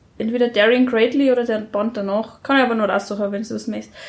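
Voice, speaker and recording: A fairly quick, somewhat breathy delivery in a flat monotone. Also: woman. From rural Germany. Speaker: interviewee. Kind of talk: casual conversation. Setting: home.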